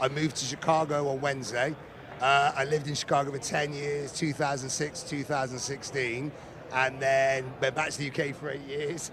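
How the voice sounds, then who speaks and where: Amid noticeable background noise, a man speaks at a moderate pace with a fairly high pitch and monotone, flat intonation. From England. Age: 40s. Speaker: racing fan, contest player's friend. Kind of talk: casual interview. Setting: casino tournament floor.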